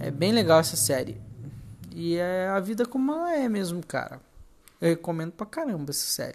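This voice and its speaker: Pausing often and at length, a woman speaks at a fairly low pitch with very wide pitch swings. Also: moderate pace. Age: 20s. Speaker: podcaster, university student. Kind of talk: casual monologue. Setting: at home. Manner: halting, hesitant.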